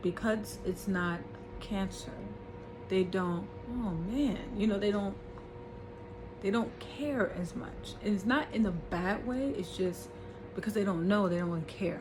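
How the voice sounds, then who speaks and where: A woman's medium-pitched voice at a fairly slow pace, ordinary pitch variation, long, frequent pauses, audible room echo and noticeable background noise. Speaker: vlogger. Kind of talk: personal vlog. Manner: halting.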